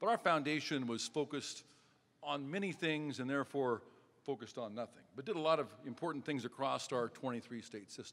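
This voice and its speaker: A man with an American accent talks at a fairly quick pace with a fairly high pitch and ordinary pitch variation. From Nebraska, US. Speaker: railroad company executive. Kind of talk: speech at a press event. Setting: stage with audience. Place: hall. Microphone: podium.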